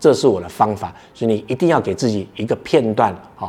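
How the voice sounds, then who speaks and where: The man talks fairly quickly in a medium pitch, his dark, mellow tone carried by lively intonation. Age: 40s. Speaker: podcast host, startup founder. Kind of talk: solo podcast talk on workplace skills.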